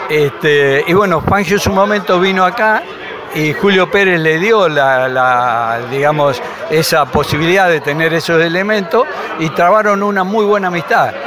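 Amid crowd noise in the background and audible room echo, a man with a high pitch and lively intonation speaks at a fairly slow pace and very even loudness. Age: 70s. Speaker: local motorsport historian. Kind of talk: interview.

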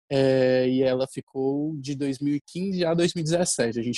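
A man with an ordinary speaking voice talks at a fairly high pitch with fairly even intonation. The sound is dry and close, with no echo. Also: hardly any pauses. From Ceará, Brazil. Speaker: festival costume director and researcher. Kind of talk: casual chat.

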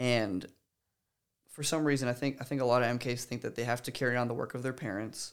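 At a very fast pace, a man with an American accent speaks with a medium pitch and fairly even intonation on a very clean recording with a silent background. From Guatemala, missionary family (Canadian father, American mother). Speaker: minister. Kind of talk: casual interview chat.

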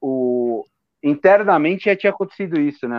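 A man talks with very wide pitch swings. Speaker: football podcast co-host. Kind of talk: casual chat.

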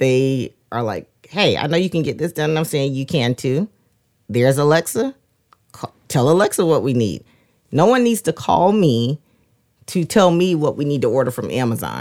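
Over a silent background in a very clean recording, a woman with a very deep, low pitch talks at a moderate pace with lively intonation. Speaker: podcast co-host. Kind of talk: casual chat.

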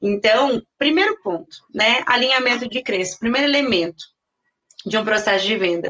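A plain, everyday voice moves at a moderate pace with lively intonation. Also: woman, fairly high pitch for a woman. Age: 30s. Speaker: sales consultant. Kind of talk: interview.

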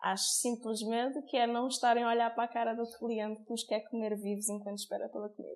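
A woman speaks very fast in a monotone, flat intonation, with hardly any pauses. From Portugal, Cascais. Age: 30s. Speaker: restaurant owner and front-of-house manager. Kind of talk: interview.

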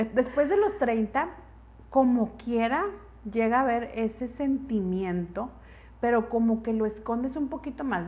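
A high-pitched woman's voice at a moderate pace, with a Mexican accent. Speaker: podcast co-host. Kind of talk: casual chat.

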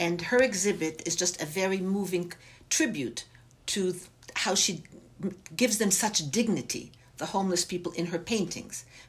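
A woman speaks at a moderate pace and medium pitch, with ordinary pitch variation and a somewhat breathy quality. Long pauses come often. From Germany, Bavaria. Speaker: arts center director. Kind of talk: interview.

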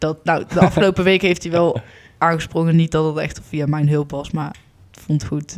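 A woman talks at a moderate pace with a very deep, low pitch and fairly even intonation. Her loudness swings widely. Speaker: podcast co-host. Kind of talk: casual chat.

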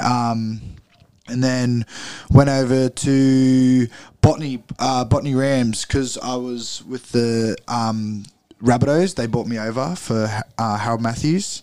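A man with an Australian accent speaks very slowly, in a medium pitch with a dark, mellow tone. His intonation stays fairly even. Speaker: rugby league player. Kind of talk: interview.

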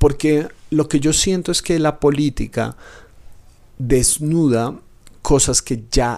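A man's fairly high voice at a very slow pace, with long, frequent pauses. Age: 30s. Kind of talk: reflective solo podcast talk. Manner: hesitant fillers.

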